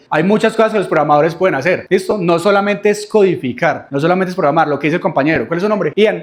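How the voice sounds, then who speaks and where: Talking at a very fast pace, a man has an animated tone and ordinary pitch variation. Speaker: software developer and speaker. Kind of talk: lecture. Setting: classroom with students.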